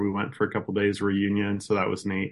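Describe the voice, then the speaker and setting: A man with a Midwestern American accent and a fairly low pitch, against a quiet background. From rural Iowa. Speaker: farmer. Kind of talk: interview conversation.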